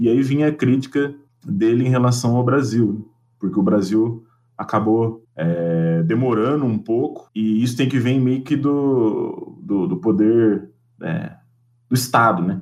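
With an ordinary speaking voice, a man talks at a fairly slow pace, his medium-pitched delivery marked by lively intonation. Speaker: geography professor. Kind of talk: casual chat.

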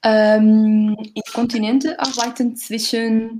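With a Portuguese accent, a woman talks at a fairly high pitch. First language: Portuguese (speaking German). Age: 30s. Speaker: retail category manager. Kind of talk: casual chat. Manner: halting.

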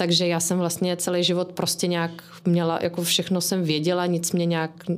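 At a moderate pace, a woman with a fairly low voice speaks on a very clean recording with a silent background. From England. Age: 30s. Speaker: podcast guest, mother of three. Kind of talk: casual chat.

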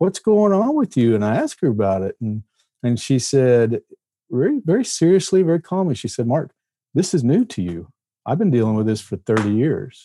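A man's dark, mellow voice in an American accent, fairly quick, with very wide pitch swings and a very clean recording over a silent background. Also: medium pitch for a man, dry, close sound with no echo. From Texas, near Fort Worth. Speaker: novelist and former deputy marshal. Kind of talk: casual interview.

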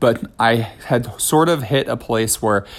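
Male voice of medium pitch with ordinary pitch variation on a very clean recording with a silent background. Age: 30s. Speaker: podcast host, ballet director and choreographer, retired dancer. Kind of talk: casual solo monologue. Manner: hesitant with many fillers and repetitions.

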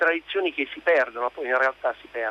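Using a plain, everyday voice, a man talks at a fairly quick pace and a fairly high pitch with ordinary pitch variation, recorded dry and close with no echo. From Naples, southern Italy. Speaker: radio caller. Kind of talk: phone-in call. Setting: phone call.

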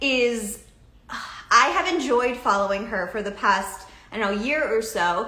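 Background noise is noticeable as a woman talks in a fairly high pitch. She has an American accent and a fairly slow pace. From Massachusetts, US. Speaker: talk show host. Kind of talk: live video talk show interview. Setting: live video stream. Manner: animated.

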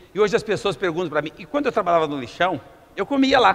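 A man with a high pitch speaks in an animated tone. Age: 50s. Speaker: entrepreneur giving a motivational talk. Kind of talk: motivational talk.

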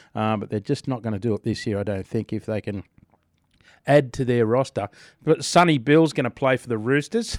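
With an Australian accent, a man talks at a fairly quick pace in a medium pitch with ordinary pitch variation. The sound is dry and close, with no echo. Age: 30s. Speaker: breakfast radio host. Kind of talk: casual breakfast radio chat. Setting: radio studio.

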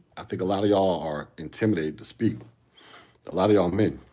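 A man speaks at a fairly quick pace in a dark, mellow tone, his fairly low voice showing vocal fry and lively intonation. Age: 40s. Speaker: solo podcaster. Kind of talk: casual commentary monologue. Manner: fast, animated.

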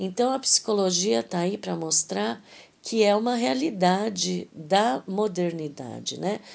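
A woman's medium-pitched voice at a fairly slow pace, with very wide pitch swings. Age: 50s. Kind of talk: devotional talk. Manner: conversational.

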